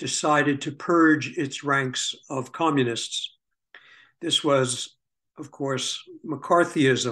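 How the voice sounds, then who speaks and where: Someone with a New York accent speaks at a very slow pace in a bright, sharp tone, with fairly even intonation against a quiet background. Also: man, fairly high pitch for a man. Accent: New York American. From US Northeast, New York City (Bronx). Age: 70s. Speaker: historian. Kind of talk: interview, life story. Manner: halting, many fillers.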